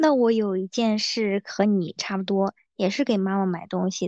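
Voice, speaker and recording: Here is a woman with an ordinary speaking voice, pitched in the middle range. Her tempo is moderate, and her pitch varies an ordinary amount. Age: 20s. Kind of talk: casual chat.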